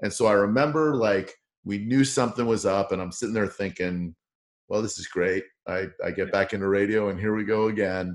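Speaking at a fairly quick pace, a man has an unremarkable speaking voice with fairly low pitch and ordinary pitch variation. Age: 50s. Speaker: radio host. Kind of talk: podcast interview.

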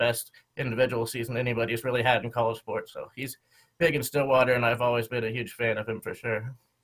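At a very fast pace, a man speaks in an American accent. His medium-pitched voice has a monotone, flat intonation. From Oklahoma. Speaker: fantasy hockey team owner. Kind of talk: interview.

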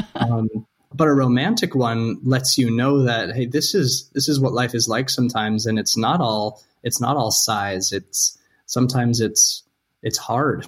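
Somewhat breathy in quality, this voice keeps fairly even intonation. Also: man, medium pitch for a man, moderate pace, very clean recording, silent background. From US Midwest, North Dakota. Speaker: theatre director and professor. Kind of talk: radio interview.

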